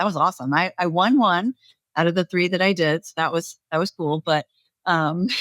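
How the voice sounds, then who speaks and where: Her voice unremarkable, a woman talks at a fairly low pitch and moderate pace in a dry, close sound with no echo. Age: 40s. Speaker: podcast host, former personal trainer. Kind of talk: podcast interview.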